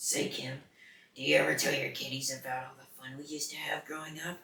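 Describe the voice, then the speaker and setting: A man uses a put-on character voice that is raspy and fairly high-pitched, with monotone, flat intonation. He talks at a fairly quick pace, and there is a slight echo. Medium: read story. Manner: exaggerated, showy enunciation.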